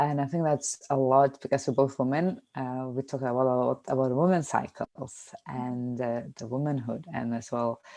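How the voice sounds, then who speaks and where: Speaking with a non-native accent, a woman talks at a moderate pace with hardly any pauses, her very deep, low voice dark and mellow in tone and her intonation fairly even. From Lithuania. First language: Lithuanian. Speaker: podcast co-host. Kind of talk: casual chat.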